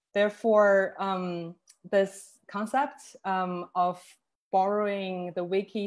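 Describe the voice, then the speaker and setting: A woman speaks with a Chinese accent and fairly even intonation. The background is quiet. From Northeast China. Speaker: curator; presenter. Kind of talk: online panel talk. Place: home room. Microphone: video call.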